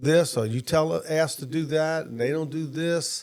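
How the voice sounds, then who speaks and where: A man with a fairly high pitch talks at a moderate pace, his pitch variation ordinary. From Louisiana, Jefferson Parish (New Orleans area). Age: 60s. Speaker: former state official and businessman. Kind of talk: podcast interview. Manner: casual, hesitant with fillers.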